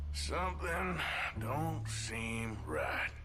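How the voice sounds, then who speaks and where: Over loud background noise, a man puts on a character voice with a very deep, low pitch. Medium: solo performance. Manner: gruff, laconic.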